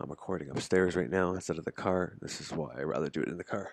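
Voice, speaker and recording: A man's put-on character voice, raspy and very deep in pitch, at a very fast pace with ordinary pitch variation. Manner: quiet, hushed.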